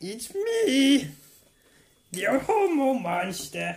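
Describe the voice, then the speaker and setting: A high-pitched, put-on character voice carries the whole clip. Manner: exaggerated cartoonish.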